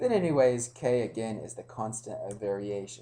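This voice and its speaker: Man's voice at medium pitch, dark and mellow in tone, somewhat breathy, with ordinary pitch variation, a moderate pace, and audible room echo. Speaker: pre-algebra teacher. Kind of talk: lecture. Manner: hesitant, many fillers.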